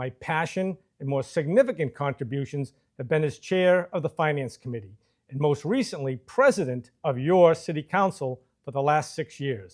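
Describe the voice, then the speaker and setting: A man's unremarkable speaking voice, fairly high in pitch, with lively intonation at a moderate pace. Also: very clean recording, silent background. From Massachusetts, Marlborough. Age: 60s. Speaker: political candidate. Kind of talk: campaign speech. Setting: studio. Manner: formal.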